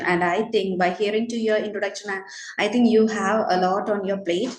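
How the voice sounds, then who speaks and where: A woman with a Keralan accent speaks at a fairly quick pace and a medium pitch, with fairly even intonation over noticeable background noise. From India, Kerala. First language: Malayalam. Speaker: teacher. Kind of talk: casual chat.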